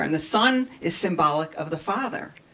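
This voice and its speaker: The woman's voice is fairly low in pitch, with lively intonation. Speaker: minister giving a talk. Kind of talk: sermon. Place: church.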